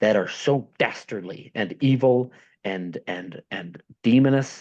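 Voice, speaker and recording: A man's speech shows ordinary pitch variation, with a quiet background behind it. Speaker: podcast host. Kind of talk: casual chat. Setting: home, downstairs.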